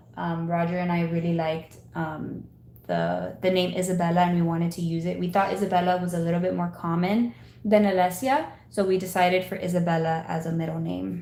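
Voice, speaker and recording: A dark, mellow tone carries fairly even intonation at a fairly quick pace. Audible room echo is present. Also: woman, fairly low pitch for a woman. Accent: American. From Miami, Florida (Cuban family). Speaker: Etsy seller and content creator. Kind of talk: casual chat while working (live stream). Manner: casual, filler-heavy.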